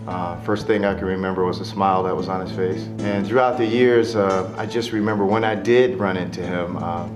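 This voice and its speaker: A man's very deep, low voice at a fairly quick pace, with music in the background. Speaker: stage actor. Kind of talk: memorial reminiscence. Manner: hesitant, conversational.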